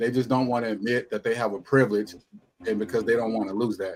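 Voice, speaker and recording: This man speaks at a very fast pace with fairly even intonation. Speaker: panelist on discussion show. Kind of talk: panel discussion. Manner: quiet.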